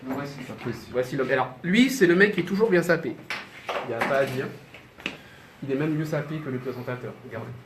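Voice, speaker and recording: A man with a fairly high pitch speaks at a fairly quick pace, with ordinary pitch variation and big swings in loudness. Long, frequent pauses break up his speech, and noticeable background noise is present. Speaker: TV news presenter. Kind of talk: news briefing; behind-the-scenes tour. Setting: TV studio. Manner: stutter; hesitant, many fillers.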